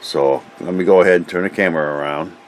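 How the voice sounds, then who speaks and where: Fairly quick male speech set against noticeable background noise. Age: 60s. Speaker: scale model hobbyist. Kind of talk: product review. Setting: home hobby room workbench. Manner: halting, many fillers; casual.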